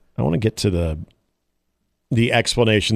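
Over a silent background on a very clean recording, a man talks at a fairly quick pace in an ordinary speaking voice, fairly low in pitch, with ordinary pitch variation. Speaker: radio sports host. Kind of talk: casual sports talk radio banter. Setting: radio studio.

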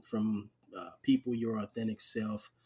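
The speaker is a man. His pitch is medium. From New York (Harlem) and Charleston, South Carolina. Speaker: podcast host, Army veteran. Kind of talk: casual interview.

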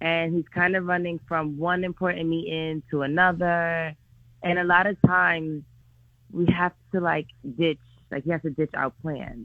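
An ordinary speaking voice belongs to this woman, pitched fairly low. Her intonation is fairly even, and her pace is moderate. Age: 20s. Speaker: caller. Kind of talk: phone-in advice call. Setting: phone call.

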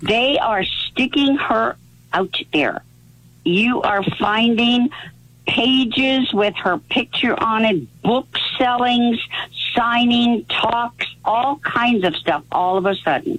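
Over noticeable background noise, a woman speaks at a very slow pace with very even loudness. Her fairly high voice shows ordinary pitch variation. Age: 80s+. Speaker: caller. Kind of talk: call-in conversation. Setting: phone call.

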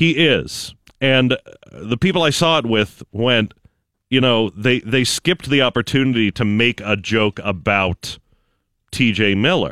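A man talks fairly slowly in an ordinary speaking voice at a medium pitch with lively intonation. The recording is very clean, with a silent background. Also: dry, close sound with no echo. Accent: American. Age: 30s. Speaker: film reviewer and comedian. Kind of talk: movie review on morning radio.

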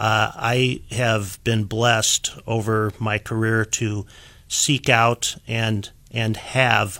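A man with a Midwestern American accent speaks very slowly in a monotone, flat delivery at medium pitch, his tone bright and sharp on a very clean recording with a silent background. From Iowa, US Midwest. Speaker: patent attorney. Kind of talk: interview. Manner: frequent filler words.

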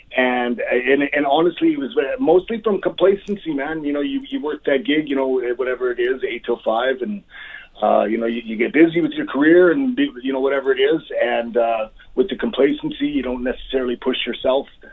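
Noticeable background noise sits behind the recording. A man talks at a fairly quick pace. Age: 40s. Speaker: pro wrestler. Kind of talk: casual chat.

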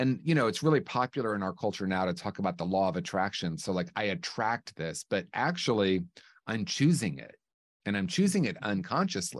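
A man's fairly low voice with an American accent, a fairly quick pace and very wide pitch swings against a quiet background. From US Midwest (small-town Indiana near Illinois border). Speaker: author, recovery program founder. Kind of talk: casual interview chat.

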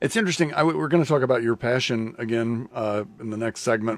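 Here a man speaks with a Midwestern US accent. His pace is very fast. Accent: US Midwest. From Lincoln, Nebraska. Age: 60s. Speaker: radio host. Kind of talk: casual chat. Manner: halting, many fillers.

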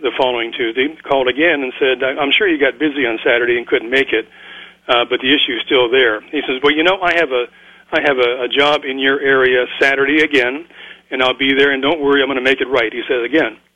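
Here is a man with a plain, everyday voice and fairly high pitch. He talks at a fairly quick pace with fairly even intonation. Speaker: caller. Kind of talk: phone-in question. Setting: phone call.

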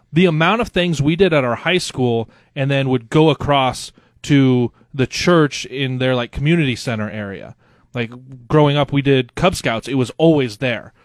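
A plain, everyday voice from a man with an American accent, fairly high in pitch, on a very clean recording with a silent background and a dry, close sound with no echo. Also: ordinary pitch variation, moderate pace. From Nebraska. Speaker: radio co-host and sports director. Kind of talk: casual chat. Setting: home basement.

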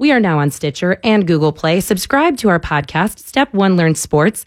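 A woman with a normal speaking voice and a fairly low pitch speaks with lively intonation in a very clean, dry, close recording with no echo and a silent background. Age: 20s. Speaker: sports podcast host filling in on radio. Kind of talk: casual sports talk radio.

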